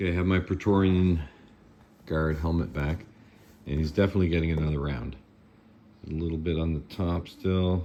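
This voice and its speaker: Mumbling at a moderate pace, a man speaks with a very deep, low pitch and a dark, mellow tone. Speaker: 3D printing hobbyist and prop maker. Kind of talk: tutorial. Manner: casual, halting.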